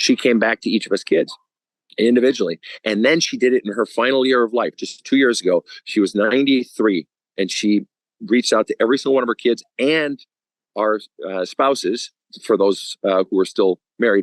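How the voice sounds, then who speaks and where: A man with an American accent talks in a plain, everyday voice at medium pitch with ordinary pitch variation. The sound is dry and close, with no echo. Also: fairly quick pace. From Minnesota. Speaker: spiritual counselor. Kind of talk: podcast interview answer.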